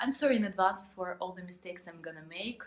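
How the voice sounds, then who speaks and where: Here a woman speaks with a Ukrainian accent. Her pace is fairly quick. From Ukraine. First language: Ukrainian or Russian. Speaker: vlogger. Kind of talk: vlog monologue. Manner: halting.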